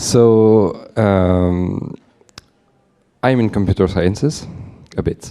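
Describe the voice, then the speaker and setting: A man speaks at a very slow pace with long, frequent pauses. His fairly low pitch shows ordinary variation. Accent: French. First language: French. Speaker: audience member asking a question. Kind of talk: audience question. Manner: halting.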